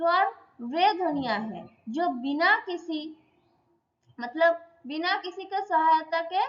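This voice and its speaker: This woman's voice sits extremely high and swings very widely in pitch. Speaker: Sanskrit teacher. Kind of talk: lecture. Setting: online class.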